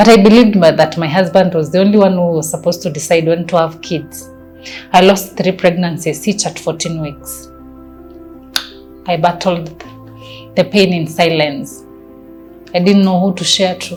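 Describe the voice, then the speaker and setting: A woman with a Kenyan accent speaks at a moderate pace in a fairly low voice, her intonation fairly even. She leaves long, frequent pauses while music plays in the background. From Kenya (Nairobi). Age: young. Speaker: family planning advocate. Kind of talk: personal testimony.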